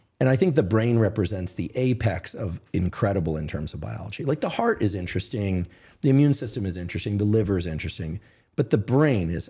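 Against a quiet background, a somewhat breathy man with a fairly low pitch talks very fast with lively intonation. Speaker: guest. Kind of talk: interview answer. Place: studio. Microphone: studio mic.

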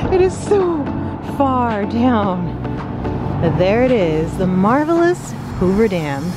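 A woman speaks over music in the background, the sound dry with no echo. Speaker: travel vlogger. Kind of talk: casual vlog chat. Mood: enthusiastic, slightly nervous of height. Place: street. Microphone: phone near.

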